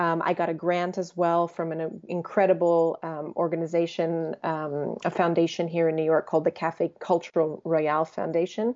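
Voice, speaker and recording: With an American accent, a woman speaks in a fairly low, monotone, flat voice with hardly any pauses. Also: moderate pace. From US, Croatian family. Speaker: jazz vocalist and composer. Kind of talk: interview.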